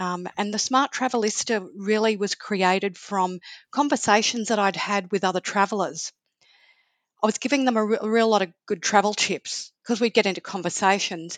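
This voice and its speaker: A woman with an Australian accent at medium pitch, ordinary pitch variation and a moderate pace, in a dry, close sound with no echo. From Australia, Sydney. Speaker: travel blogger and author. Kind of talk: interview.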